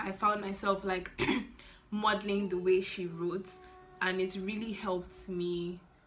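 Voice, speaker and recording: Against noticeable background noise and audible room echo, a woman speaks at a medium pitch in a flat monotone. She goes fairly slowly, with long, frequent pauses. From Nigeria. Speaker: YouTuber and medical student. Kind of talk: casual Q&A vlog.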